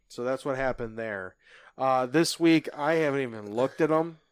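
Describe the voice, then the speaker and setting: A man speaks in a plain, everyday voice. His pitch sits in the medium range and rises and falls in an ordinary way. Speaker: podcast co-host. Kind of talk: casual sports talk podcast.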